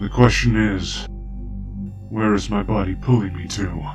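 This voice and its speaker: A man performs in a put-on character voice. Clear music plays behind him. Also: fairly slow pace. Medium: audio drama.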